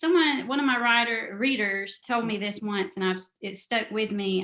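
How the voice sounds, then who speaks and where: A woman with a Southern US accent, bright and sharp in tone, at a fairly slow pace with ordinary pitch variation. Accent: Southern drawl. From US South, South Carolina. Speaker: novelist. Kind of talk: interview. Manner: halting.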